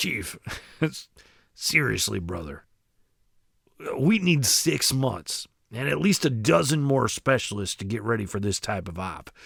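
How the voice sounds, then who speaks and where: A raspy put-on character voice with very wide pitch swings, a moderate pace and long, frequent pauses. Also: man, medium pitch for a man. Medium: read story. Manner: sarcastic, blunt.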